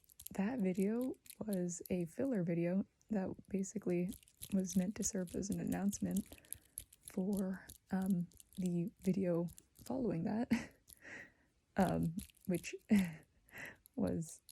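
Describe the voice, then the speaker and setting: A soft-spoken, somewhat breathy woman with a dark, mellow tone and medium pitch, ordinary pitch variation, a very slow pace and long, frequent pauses. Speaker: ASMR creator. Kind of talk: ASMR soft-spoken chatty talk.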